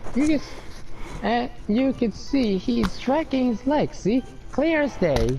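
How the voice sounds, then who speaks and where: Against clear music in the background, a man uses a strained, put-on character voice at an extremely high pitch and a fairly slow pace. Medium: game stream. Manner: cranky, indignant.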